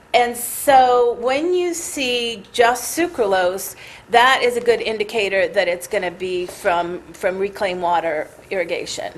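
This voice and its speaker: Over noticeable background noise, a woman with a fairly high pitch talks at a fairly slow pace, her voice making very wide pitch swings. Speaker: scientist presenting research. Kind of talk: technical presentation. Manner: halting, many fillers and restarts.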